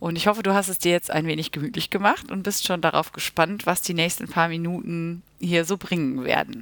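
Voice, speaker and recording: With a plain, everyday voice, a woman speaks fairly quickly and at a fairly low pitch, using ordinary pitch variation and hardly any pauses. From Germany, Münster (Westphalia). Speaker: school teacher and podcast host. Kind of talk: solo podcast introduction. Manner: casual with filler sounds.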